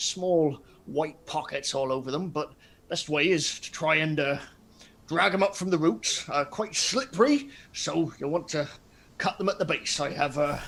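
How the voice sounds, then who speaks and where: A man speaks at a moderate pace in a put-on character voice pitched high. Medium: actual play. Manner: folksy, halting.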